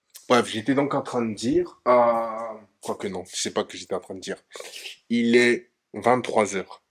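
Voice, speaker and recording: Medium-pitched male speech at a fairly slow pace, fairly even in intonation, with big swings in loudness. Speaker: vlogger, studio entrepreneur. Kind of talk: casual vlog.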